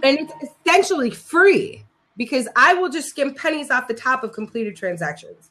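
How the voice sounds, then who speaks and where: Loud and at a moderate pace, a woman speaks with very wide pitch swings. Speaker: live streamer and startup founder. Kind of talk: casual chat. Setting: live stream video chat.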